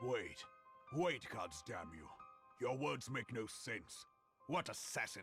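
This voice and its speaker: A man puts on a raspy character voice at a medium pitch, with music in the background. He speaks fairly slowly and leaves long, frequent pauses. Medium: video game. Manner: commanding, forceful.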